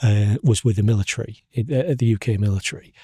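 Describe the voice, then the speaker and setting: With a Hull accent, a man sounds somewhat breathy with a dark, mellow tone, recorded dry and close with no echo on a very clean recording with a silent background. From northern England, Hull. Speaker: podcast host, cartographer. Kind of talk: casual interview chat. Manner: halting, many repetitions.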